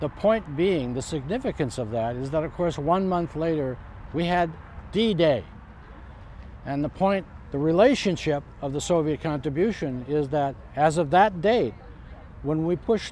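Over light background noise, a man with a fairly high, dark, mellow voice speaks at a moderate pace with lively intonation and long, frequent pauses, in a dry sound with no echo. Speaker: living history reenactor, amateur military historian. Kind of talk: interview answer. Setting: outdoors. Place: open country.

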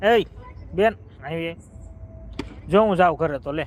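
A man with a high voice speaks with ordinary pitch variation against noticeable background noise. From Gujarat, Bhavnagar. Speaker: vlogger. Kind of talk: live stream chat. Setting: outdoors in a garden. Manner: animated.

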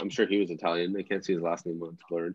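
Light background noise sits behind a man with a Canadian accent. He talks at a very fast pace. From Ontario, Canada (Pickering); Ontario, Canada. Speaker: real estate agent; real estate agent demonstrating lead dialing. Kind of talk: live webinar demo; casual tutorial chat. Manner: casual, filler-heavy. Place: home room. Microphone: webcam.

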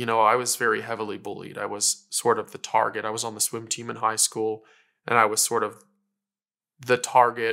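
A man's bright, sharp voice, monotone and flat, at a fairly quick pace against a quiet background. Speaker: interviewee, teacher. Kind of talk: interview answer. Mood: reflective, earnest. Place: home room. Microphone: lapel.

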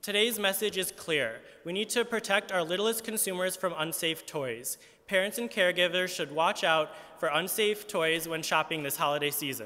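At a moderate pace, a man talks at a high pitch with ordinary pitch variation. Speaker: advocacy group spokesperson. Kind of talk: press conference statement. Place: hall. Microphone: podium.

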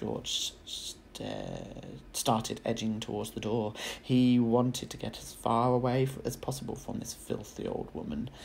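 Against noticeable background noise, a male speaker talks at a fairly slow pace. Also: medium pitch for a man, fairly even intonation, big swings in loudness. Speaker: teacher. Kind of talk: children's audiobook reading.

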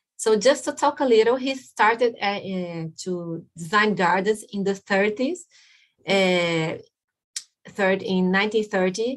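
A speaker with a Brazilian Portuguese accent talks at a fairly slow pace with ordinary pitch variation over a quiet background. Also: woman. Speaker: landscape architect; guest. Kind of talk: presentation. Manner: halting. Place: home room. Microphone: webcam.

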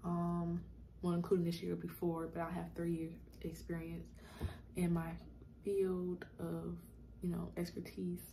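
A woman talks quietly over light background noise. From South Carolina. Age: 20s. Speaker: YouTuber; vlogger. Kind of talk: casual vlog Q&A. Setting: at home in apartment. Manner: quiet, talking low. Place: home room. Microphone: phone near.

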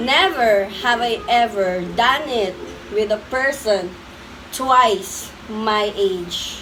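A woman speaks at a very slow pace. There is audible room echo and noticeable background noise. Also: fairly high pitch for a woman, ordinary pitch variation. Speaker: vlogger. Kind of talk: casual chat; vlog outro. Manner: laughing often.

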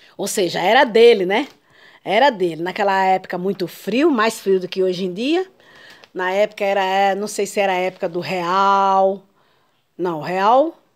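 A woman's voice at a fairly slow pace, with ordinary pitch variation, against a quiet background. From Brazil. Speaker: YouTuber, grandmother; YouTuber. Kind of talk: casual vlog. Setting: at home. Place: home room. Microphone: phone near.

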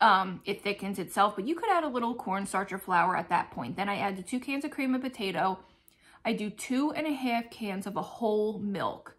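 A woman speaks with lively intonation. Her pace is fairly quick. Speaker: lifestyle vlogger. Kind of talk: casual vlog chat. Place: home room. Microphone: phone near.

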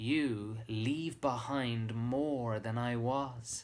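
A man with an Irish accent talks in a warm, gentle tone with fairly even intonation. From Ireland. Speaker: actor. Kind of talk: poetry reading with a short personal introduction. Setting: live webcast, home during lockdown. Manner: warm, sincere, gentle. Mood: warm, reflective. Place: home room. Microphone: webcam.

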